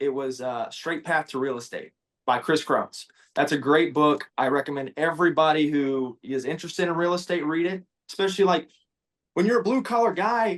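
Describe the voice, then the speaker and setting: A man with fairly high pitch talks at a fairly quick pace in a normal speaking voice. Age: 20s. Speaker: welder and social media creator. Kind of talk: casual interview chat.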